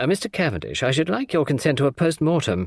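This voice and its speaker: A man's put-on character voice, fairly high in pitch, with very wide pitch swings at a very fast pace. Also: very clean recording, silent background. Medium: read story. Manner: fussy, self-important.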